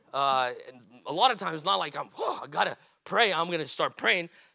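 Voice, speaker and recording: A raised, projected male voice, bright and sharp in tone. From Brazil, São Paulo. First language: Portuguese. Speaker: pastor. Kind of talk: sermon. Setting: church. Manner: halting, many fillers.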